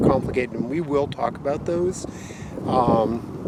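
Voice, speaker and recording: Loud background noise sits behind a man talking at a fairly slow pace. The sound is dry with no echo, and his pitch variation is ordinary. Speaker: science teacher. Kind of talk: outdoor lesson. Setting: outdoors. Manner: halting. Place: open country. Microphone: phone near.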